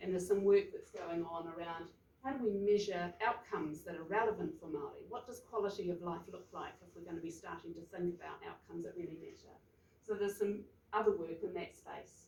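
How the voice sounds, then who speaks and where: A woman in a New Zealand accent, fairly quick, with big swings in loudness. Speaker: health researcher. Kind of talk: presentation at research forum. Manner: fast.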